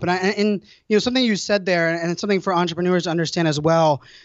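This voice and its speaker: Very fast pace, animated tone and ordinary pitch variation. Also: man, hardly any pauses. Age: 30s. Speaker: entrepreneur and speaker. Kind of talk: interview.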